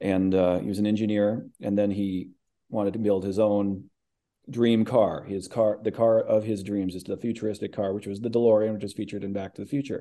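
A fairly low-pitched man with an American accent, dark and mellow in tone, monotone and flat, at a fairly quick pace over a quiet background. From US Midwest. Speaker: actor and voice actor. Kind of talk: interview.

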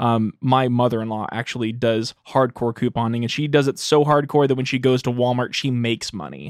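The speaker uses a normal speaking voice. The pace is fairly quick and the intonation fairly even. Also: man, medium pitch for a man. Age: 20s. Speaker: podcast host. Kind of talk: casual chat.

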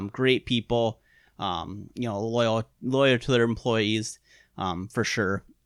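A man with a Wisconsin accent, medium pitch, very slow pace and fairly even intonation, in a dry, close sound with no echo and a very clean recording with a silent background. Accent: Upper Midwest (Wisconsin). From Upper Peninsula of Michigan, raised in western Wisconsin. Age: 30s. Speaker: archery industry veteran and bowhunter. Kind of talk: casual interview chat. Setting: studio, face to face. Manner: hesitant, many fillers.

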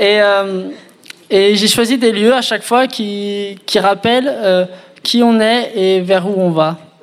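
Over noticeable background noise, a man with a high pitch speaks at a very slow pace with fairly even intonation and long, frequent pauses. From France, Reims. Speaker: engaged man sharing his story. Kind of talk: testimony.

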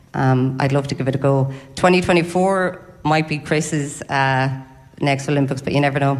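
A woman with an Irish accent speaks fairly slowly in a very deep, low voice with fairly even intonation over noticeable background noise. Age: 40s. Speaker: athlete. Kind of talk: live interview at book launch. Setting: hotel ballroom with audience.

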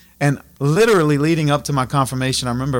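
A man with a south Louisiana accent talks at a fairly quick pace. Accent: south Louisiana Cajun English. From Louisiana, Acadiana (Abbeville). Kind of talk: casual interview.

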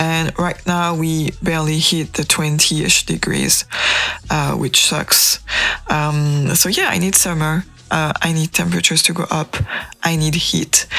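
With noticeable background noise around her, a woman talks at a fairly slow pace. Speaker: radio host. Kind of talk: radio DJ patter. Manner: warm, chatty, conversational; relaxed, casual, light humor.

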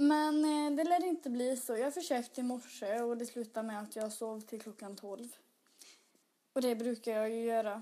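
The tone is dark and mellow, with ordinary pitch variation at a moderate pace. The recording is very clean over a silent background. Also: woman, fairly high pitch for a woman. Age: 20s. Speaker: podcaster. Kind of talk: casual solo monologue.

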